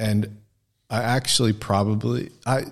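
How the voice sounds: On a very clean recording with a silent background, a man speaks in a fairly low pitch.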